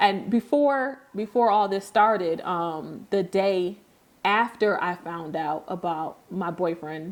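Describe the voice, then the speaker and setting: At a very slow pace, a woman with an American accent speaks at a medium pitch with ordinary pitch variation. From upstate New York. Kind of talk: podcast conversation.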